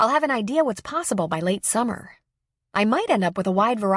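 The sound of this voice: Lively intonation runs through an unforced reading voice set against a quiet background.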